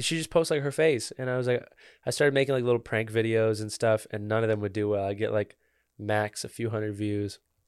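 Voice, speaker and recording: A man's unremarkable speaking voice at medium pitch, fairly quick in pace, with ordinary pitch variation, on a very clean recording with a silent background. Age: 20s. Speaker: singer-songwriter. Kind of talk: casual chat.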